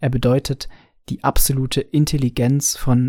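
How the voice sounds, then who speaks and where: The man speaks at a medium pitch with a dark, mellow tone and monotone, flat intonation. The sound is dry and close, with no echo. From Franconia, Bavaria. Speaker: podcaster, film fan. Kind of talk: recorded voice message.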